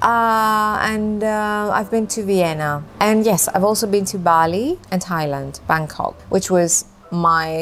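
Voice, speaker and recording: A woman speaks at a very slow pace with a slight British accent. Her medium pitch has ordinary pitch variation. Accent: slight British-sounding accent in English. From Greece. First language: Greek. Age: 50s. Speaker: vintage lifestyle vlogger. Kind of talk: casual Q&A monologue to camera.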